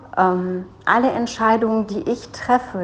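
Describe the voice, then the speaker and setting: Against noticeable background noise, a woman talks at a very slow pace with ordinary pitch variation. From Germany. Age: 40s. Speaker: business coach. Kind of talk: personal monologue.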